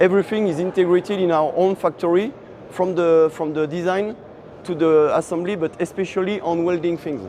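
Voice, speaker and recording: Over noticeable background noise, a man with high pitch talks at a fairly quick pace with fairly even intonation. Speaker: farm machinery manufacturer representative. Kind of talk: product explanation interview. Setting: trade show floor. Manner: halting, many fillers.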